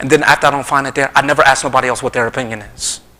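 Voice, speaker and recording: Noticeable background noise sits under the speech. A man rattles along at a very fast pace. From US Northeast, South Jersey. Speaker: Islamic lecturer. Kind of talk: religious lecture. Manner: animated.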